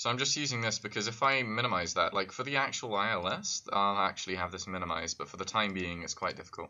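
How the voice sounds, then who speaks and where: A man with a British accent at a fairly low pitch, ordinary pitch variation, a very fast pace and hardly any pauses. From United Kingdom. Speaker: flight sim streamer. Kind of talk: live gameplay commentary.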